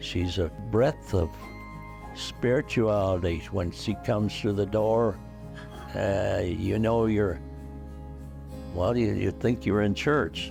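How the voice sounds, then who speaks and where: Music plays in the background as a man delivers his words at a very slow pace. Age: 80s+. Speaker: war veteran; hospice patient. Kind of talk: interview answer. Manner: halting, hesitant.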